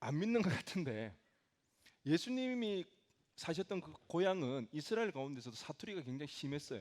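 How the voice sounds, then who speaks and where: A man speaks at a moderate pace in a fairly high voice whose pitch swings very widely. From South Gyeongsang, South Korea. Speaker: pastor. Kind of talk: sermon. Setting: church.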